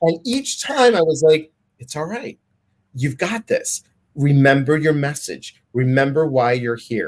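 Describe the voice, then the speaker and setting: A somewhat breathy man at fairly high pitch, with lively intonation and a fairly slow pace. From Greek heritage. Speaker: public speaker and meditation guide. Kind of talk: casual chat. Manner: pitch rises when excited.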